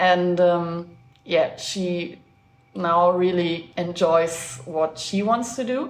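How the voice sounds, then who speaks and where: Very slow speech with a German accent, ordinary pitch movement, audible room echo and noticeable background noise. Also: woman, fairly low pitch for a woman. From Germany. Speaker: traveler. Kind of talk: casual chat.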